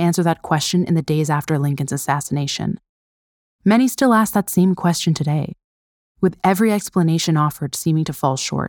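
Dry and close with no echo, a woman's unremarkable speaking voice sits fairly low in pitch and moves at a fairly quick pace with lively intonation. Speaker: narrator. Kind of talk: dramatic narration of history, scripted true-crime storytelling. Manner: solemn, measured, somber; vivid, suspenseful, storytelling cadence.

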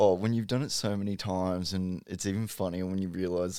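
A man's very deep, low pitch, fairly even intonation and a fairly quick pace. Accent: Australian. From Brisbane, Australia. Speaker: comedian. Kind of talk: casual chat.

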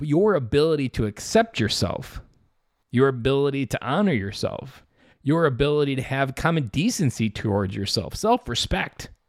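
A man's medium-pitched voice with lively intonation at a moderate pace, on a very clean recording with a silent background. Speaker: fatherhood podcast host and coach. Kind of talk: solo motivational monologue. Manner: blunt, direct.

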